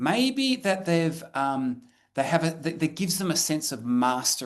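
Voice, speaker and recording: A man with an Australian accent speaks at a moderate pace, his voice fairly high. His pitch swings very widely against a quiet background. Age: 50s. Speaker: professor. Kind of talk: lecture. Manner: halting, with many repetitions.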